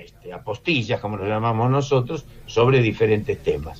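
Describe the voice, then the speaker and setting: Music plays in the background as a man talks at a fairly slow pace. His voice is medium in pitch with lively intonation. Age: 70s. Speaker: film critic and lecturer. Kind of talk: radio interview. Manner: halting.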